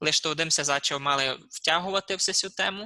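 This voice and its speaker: A man speaks at a moderate pace in a bright, sharp tone with fairly even intonation. The sound is dry and close with no echo, against a quiet background. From Transcarpathia, Ukraine. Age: 20s. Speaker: interviewee. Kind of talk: interview. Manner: halting.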